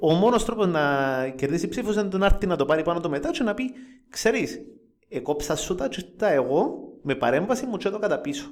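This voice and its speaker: A man with a Cypriot accent speaks at a fairly quick pace in a high voice, his pitch swinging very widely, with long, frequent pauses. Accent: Cypriot Greek. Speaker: football fan podcast host. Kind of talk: casual chat.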